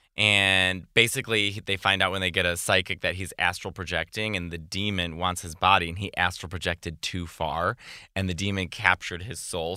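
On a very clean recording with a silent background, a man speaks at a fairly quick pace in a very deep, low pitch, his bright, sharp tone held to a monotone, flat intonation. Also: hardly any pauses. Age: 30s. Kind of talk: casual chat.

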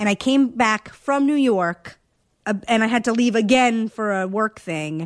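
This woman's voice sits at a medium pitch and moves with lively intonation. The sound is dry and close with no echo, on a very clean recording over a silent background. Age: 30s. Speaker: TV producer. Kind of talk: casual chat. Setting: living room.

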